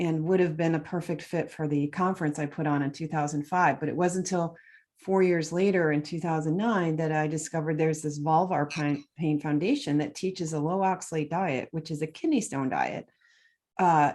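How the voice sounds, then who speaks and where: With a Midwestern US accent, a woman talks in a very deep, low voice. She keeps a fairly quick pace over a quiet background. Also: fairly even intonation. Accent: General American, Midwestern. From Michigan, US Midwest. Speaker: nutrition author and oxalate expert. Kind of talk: interview.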